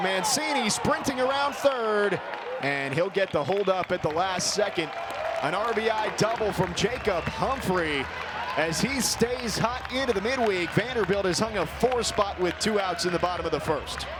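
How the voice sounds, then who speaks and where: Energetic and excited, a man speaks in a high voice at a moderate pace. There is noticeable background noise. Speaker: sports play-by-play broadcaster. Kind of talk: sports play-by-play commentary. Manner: energetic, excited.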